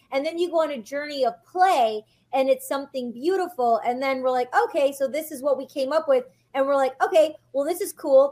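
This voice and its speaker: At a fairly quick pace, a woman speaks in a high voice with ordinary pitch variation on a very clean recording with a silent background. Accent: American. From Detroit, Michigan. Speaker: actress and podcast host. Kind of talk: casual interview chat.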